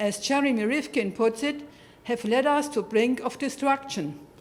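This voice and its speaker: With a German accent, a woman speaks in a high pitch at a moderate pace, with ordinary pitch variation. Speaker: award recipient, network representative. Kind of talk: acceptance speech. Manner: formal.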